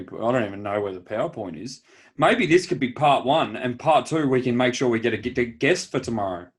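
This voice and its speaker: With an Australian accent, a man talks at a fairly quick pace and with lively intonation on a very clean recording against a silent background. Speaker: podcast co-host. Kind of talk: casual chat.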